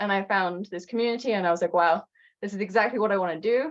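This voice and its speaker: A woman with a British accent, medium pitch and ordinary pitch variation. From UK. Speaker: intentional community member. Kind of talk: casual chat.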